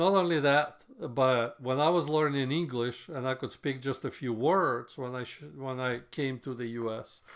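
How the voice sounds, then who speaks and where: At a moderate pace, a man with a non-native accent speaks at a medium pitch with ordinary pitch variation. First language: not English. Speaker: software developer podcaster. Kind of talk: solo podcast monologue.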